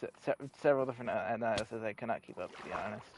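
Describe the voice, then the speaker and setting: A fairly quick man's voice at medium pitch, with noticeable background noise. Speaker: gaming streamer. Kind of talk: live gameplay stream chat. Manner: halting, many fillers.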